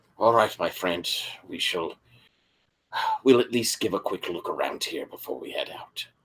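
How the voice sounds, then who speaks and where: Putting on a raspy character voice, a man speaks at a moderate pace with long, frequent pauses and big swings in loudness. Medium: actual play. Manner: formal, old-fashioned phrasing.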